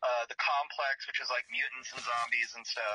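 The sound is dry and close with no echo as a man talks at a moderate pace. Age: 40s. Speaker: makeup effects artist. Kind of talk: casual interview chat.

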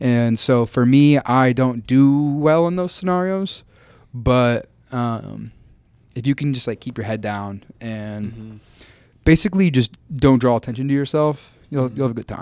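A man with an American accent and a plain, everyday voice speaks at a medium pitch and moderate pace with ordinary pitch variation. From Kansas, US Midwest. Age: 20s. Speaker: podcast guest, content creator and student. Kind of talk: casual chat.

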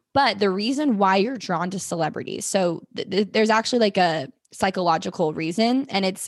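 A woman of medium pitch, a plain, everyday voice, quiet background. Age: 20s. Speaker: podcaster and digital marketer. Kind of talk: casual chat.

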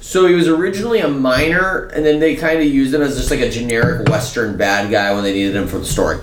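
A loud man with a fairly high pitch talks at a very fast pace with hardly any pauses and very wide pitch swings. Noticeable background noise is present. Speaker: podcast co-host. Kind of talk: casual chat. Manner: animated.

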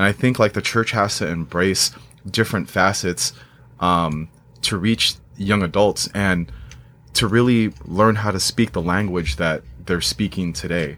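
A man with an American accent speaks at a fairly slow pace. His voice is very deep and low, with ordinary pitch variation. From Southern California, Moreno Valley. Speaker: youth minister and worship band leader. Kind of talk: casual chat. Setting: studio. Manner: halting, many fillers.

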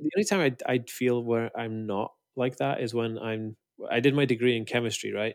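A man speaks with a north Welsh accent on a very clean recording with a silent background. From Wales, Anglesey. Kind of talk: interview.

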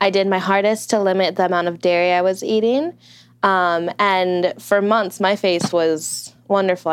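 A woman with an unremarkable speaking voice and medium pitch talks at a moderate pace over a quiet background. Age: 20s. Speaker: restaurant worker. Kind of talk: interview.

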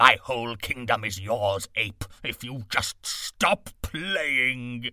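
This man uses a growling, put-on character voice at a medium pitch. He talks at a very slow pace.

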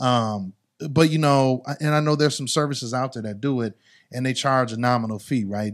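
The recording is very clean, with a silent background. A man speaks at medium pitch with ordinary pitch variation. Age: 40s. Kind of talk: casual interview chat.

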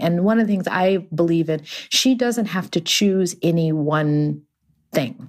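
A woman's normal speaking voice, fairly low in pitch, with lively intonation at a moderate pace. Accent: American. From Texas, Houston. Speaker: actress and memoir author. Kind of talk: interview conversation.

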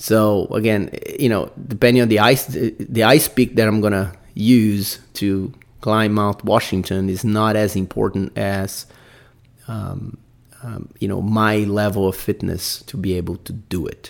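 A man speaks with a Brazilian accent at a fairly low pitch. His pace is fairly slow and his intonation fairly even. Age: 40s. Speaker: podcast host, amateur mountaineer. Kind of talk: solo podcast monologue. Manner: hesitant, many fillers.

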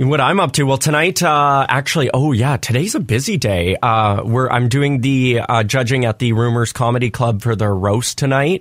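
A man's medium-pitched voice, an ordinary speaking voice, with ordinary pitch variation and very even loudness, on a very clean recording with a silent background. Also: hardly any pauses. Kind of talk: radio co-host banter, quick back-and-forth chat on a morning show. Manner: upbeat, chatty, good-humoured, laughing along.

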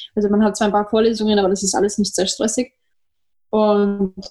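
Somewhat breathy and dark, mellow in tone, a woman talks at a very fast pace with a fairly high pitch. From Austria. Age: 20s. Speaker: trumpeter. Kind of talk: interview.

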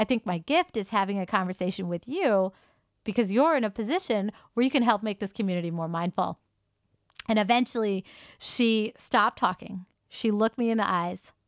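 A woman at medium pitch, a plain, everyday voice with an American accent, ordinary pitch variation and a fairly quick pace on a very clean recording with a silent background. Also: dry, close sound with no echo. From US, Indian American. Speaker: podcast co-host, yoga teacher. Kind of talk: casual conversational podcast.

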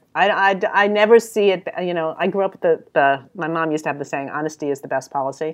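The speech is very fast, with ordinary pitch variation. It comes in a New York accent. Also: woman, fairly low pitch for a woman. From New York City. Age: 60s. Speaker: creative business consultant. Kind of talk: interview. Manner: direct.

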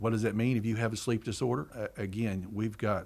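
A man with a Southern US accent speaks fairly quickly in a fairly low voice. His intonation is monotone and flat, and the recording is very clean with a silent background. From rural eastern Arkansas. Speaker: hospital chief executive. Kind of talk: interview. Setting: on location at a hospital.

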